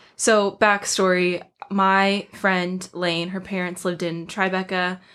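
Over a silent background in a very clean recording, a woman talks very slowly in a flat, monotone delivery. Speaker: college student. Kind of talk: casual chat.

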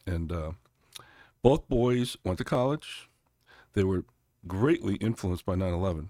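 On a very clean recording with a silent background and a dry, close sound with no echo, a man with an American accent speaks at a moderate pace in a dark, mellow, fairly low voice, with lively intonation and long, frequent pauses. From Connecticut, US. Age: 60s. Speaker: congressional candidate. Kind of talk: interview conversation.

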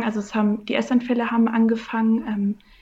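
The voice has a dark, mellow tone, somewhat breathy, delivered in a monotone with flat intonation. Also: woman. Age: 20s. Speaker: coaching client. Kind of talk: interview. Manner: halting.

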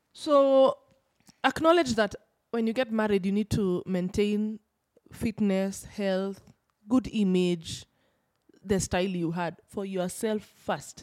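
The speech comes at a very slow pace with long, frequent pauses and ordinary pitch variation, in a dry, close sound with no echo. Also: woman, medium pitch for a woman. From Kenya, Kikuyu region. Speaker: pre and postpartum fitness coach. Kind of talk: casual chat. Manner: loud; animated.

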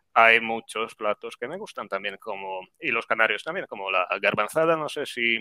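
A man talks at a moderate pace with hardly any pauses. His medium-pitched voice carries lively intonation. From Poland, Grudziądz. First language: Polish (speaking Spanish). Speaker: Spanish teacher YouTuber. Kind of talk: interview.

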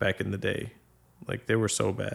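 Someone speaks with an American accent at a moderate pace. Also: man. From Boston, Massachusetts. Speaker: podcast guest. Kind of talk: casual chat.

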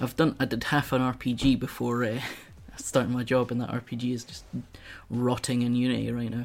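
With a Scottish accent, a man speaks at a medium pitch and moderate pace. His delivery is monotone and flat. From Scotland. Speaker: streamer. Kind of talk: casual chat.

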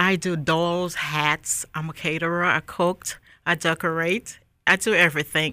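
A woman with a bright, sharp tone and fairly low pitch, at a fairly slow pace, in a very clean recording with a silent background. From Liberia (Monrovia). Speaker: hat designer. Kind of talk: interview.

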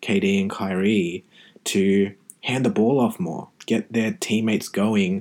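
This man has a fairly low voice and an Australian accent. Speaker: podcast host, physiotherapist. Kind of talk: casual solo podcast monologue.

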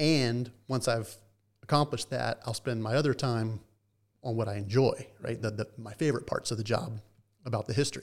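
Recorded very cleanly against a silent background, a man with an American accent and an unremarkable speaking voice talks at a fairly quick pace, his pitch medium and his intonation fairly even. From US South, Atlanta, Georgia. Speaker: baseball team historian. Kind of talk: interview conversation.

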